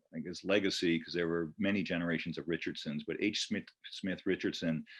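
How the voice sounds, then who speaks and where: Against a quiet background, a man with a very deep, low pitch talks at a fairly quick pace in a monotone, flat intonation. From Connecticut (New Canaan). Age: 60s. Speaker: retired banker and land trust volunteer steward. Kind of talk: presentation talk. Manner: hesitant, many fillers.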